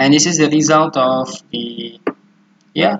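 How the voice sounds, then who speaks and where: Very slow speech in an Indonesian accent. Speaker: student presenting research. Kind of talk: tutorial. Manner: halting.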